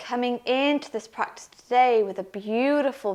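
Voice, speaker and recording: A woman with a slight Welsh accent, high-pitched, fairly slow, with ordinary pitch variation. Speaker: yoga teacher. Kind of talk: guided yoga class.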